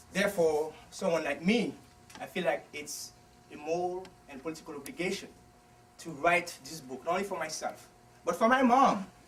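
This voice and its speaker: A man's high voice with lively intonation, a moderate pace, long, frequent pauses and big swings in loudness, over noticeable background noise. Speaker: author. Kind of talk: book talk. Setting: bookstore event without microphone.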